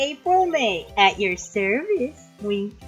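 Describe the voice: In a put-on character voice with very wide pitch swings, the speaker goes at a very slow pace over clear background music. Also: female-sounding voice, fairly high pitch for a woman.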